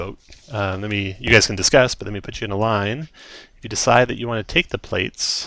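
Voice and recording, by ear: The intonation stays fairly even as the text is read aloud in a natural voice.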